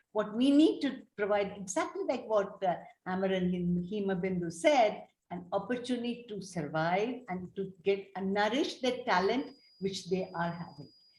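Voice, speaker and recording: Somewhat breathy and fairly high in pitch, a woman speaks at a moderate pace with lively intonation. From India, Tamil family. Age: 70s. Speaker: developmental paediatrician. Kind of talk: panel discussion.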